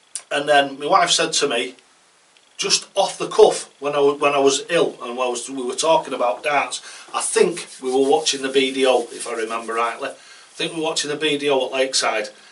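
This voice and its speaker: Noticeable background noise runs under this clip. A man speaks with ordinary pitch variation. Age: 60s. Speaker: darts coach. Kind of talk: casual tutorial talk. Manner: conversational, rambling with hesitations.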